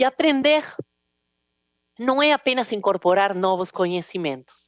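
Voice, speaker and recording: In an Argentine accent, a woman talks at a fairly slow pace with a medium pitch and very wide pitch swings, the sound dry and close with no echo against a quiet background. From Argentina, Rosário. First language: Spanish (speaking Portuguese). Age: 40s. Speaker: business executive and speaker. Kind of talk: keynote talk. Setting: stage with audience.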